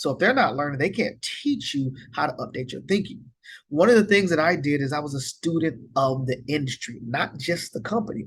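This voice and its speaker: With an American accent, a man talks at a fairly quick pace in a fairly high pitch, his somewhat breathy voice full of lively intonation. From US rural area. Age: 40s. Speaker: financial advisor. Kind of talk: online course lecture. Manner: fast; relaxed, casual.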